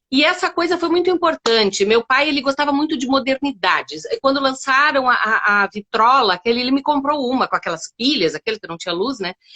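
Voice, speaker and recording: A high-pitched woman at a fairly quick pace, very wide pitch swings and hardly any pauses. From Brazil, Rio Grande do Sul (Uruguaiana). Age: 50s. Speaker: storyteller. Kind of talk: interview.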